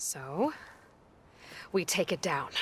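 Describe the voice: A woman puts on a character voice, fairly low and with a slightly husky edge. She speaks at a slow pace with big pitch swings.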